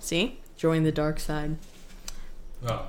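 A woman uses a normal speaking voice, pitched fairly low, with ordinary pitch variation. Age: 30s. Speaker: podcast co-host. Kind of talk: casual chat.

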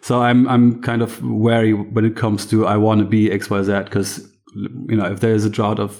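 The speaker has a German accent and a monotone, flat intonation. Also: man. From Germany, east of Berlin. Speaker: farmer. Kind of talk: interview.

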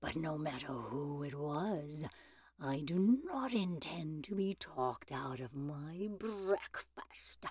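A woman puts on a character voice, growling slowly with a low pitch, a slightly mellow tone and a slightly husky edge. Her intonation stays lively.

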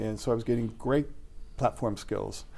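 A dark, mellow tone in a General American accent at a fairly quick pace, with audible room echo. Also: man. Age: 60s. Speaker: media crisis trainer. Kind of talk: casual interview.

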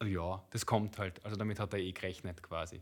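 On a very clean recording with a silent background, a man speaks at a moderate pace with a bright, sharp tone. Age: 30s. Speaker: father of school children, colleague of host. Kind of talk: casual chat.

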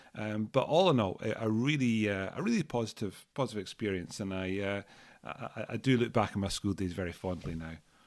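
This man has an Edinburgh accent. His pace is fairly quick. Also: fairly low pitch for a man, ordinary pitch variation, very clean recording, silent background. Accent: Scottish (Edinburgh). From Scotland, Edinburgh. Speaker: school founder and CEO. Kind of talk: interview. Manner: hesitant, many fillers and repetitions.

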